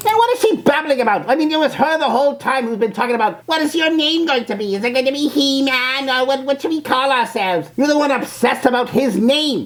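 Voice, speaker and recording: A female-sounding, put-on character voice talks at a very fast pace. The pitch is high. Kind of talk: reaction video commentary. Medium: role play. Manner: scornful, mocking.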